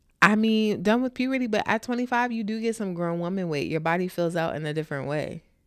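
On a very clean recording with a silent background, a woman of medium pitch talks at a fairly quick pace with lively intonation and hardly any pauses. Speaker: podcast co-host. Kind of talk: casual chat.

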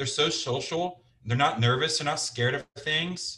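A man with a Midwestern American accent talks in a bright, sharp tone at a moderate pace, his intonation fairly even. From US Midwest, Cincinnati, Ohio. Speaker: sales manager and business owner. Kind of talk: casual interview.

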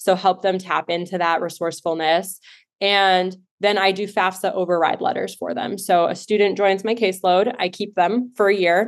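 Against a quiet background, an ordinary speaking voice moves at a moderate pace with fairly even intonation. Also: woman, medium pitch for a woman. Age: 30s. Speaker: life coach and nonprofit founder. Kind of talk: interview.

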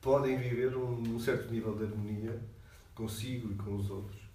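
A man's medium-pitched voice at a moderate pace, with audible room echo and noticeable background noise. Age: 50s. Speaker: psychology professor. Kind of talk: interview.

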